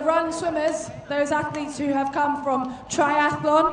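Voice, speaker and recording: A woman speaks at an extremely high pitch and a moderate pace. Audible room echo and noticeable background noise fill the recording. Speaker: sports commentator. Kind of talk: live commentary.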